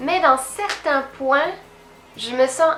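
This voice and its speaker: Over noticeable background noise, a woman uses a raised, projected voice at a high pitch and a very slow pace. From France. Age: 20s. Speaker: YouTuber. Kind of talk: vlog monologue.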